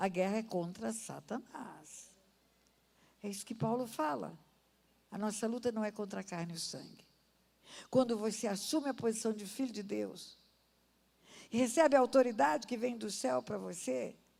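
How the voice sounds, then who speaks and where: With a fairly high pitch and vocal fry, a woman speaks in a dark, mellow tone, her intonation lively, her loudness swinging widely and her pauses long and frequent. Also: moderate pace. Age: 70s. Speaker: pastor. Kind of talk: sermon. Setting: church. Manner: animated.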